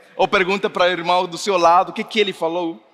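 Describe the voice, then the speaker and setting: A man is speaking. Noticeable background noise sits behind his voice. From Mexico. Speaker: pastor. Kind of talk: sermon. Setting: church service with congregation.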